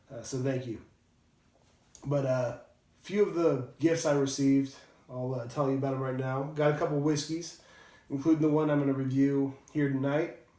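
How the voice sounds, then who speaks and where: In a room with audible echo, a man speaks at a moderate pace in a fairly high, monotone, flat voice, with long, frequent pauses. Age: 30s. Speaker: whiskey reviewer, construction worker. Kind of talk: casual video review. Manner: hesitant, many fillers.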